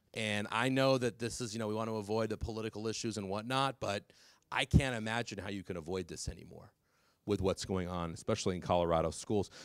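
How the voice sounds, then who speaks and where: In a very clean recording with a silent background, a man with an American accent talks at a fairly quick pace, his fairly low pitch showing ordinary variation. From California. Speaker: drug policy speaker. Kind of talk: public talk. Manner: fast; animated.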